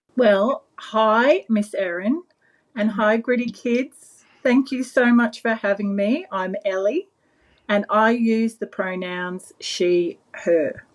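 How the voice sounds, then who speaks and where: In an Australian accent, a woman with a fairly high pitch speaks at a very slow pace with ordinary pitch variation. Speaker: children's book author. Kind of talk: interview.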